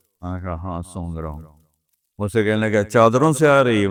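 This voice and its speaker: This man has a normal speaking voice, fairly low in pitch, with ordinary pitch variation. The recording is very clean and the background silent. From Pakistan. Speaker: Islamic scholar. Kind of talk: religious lecture.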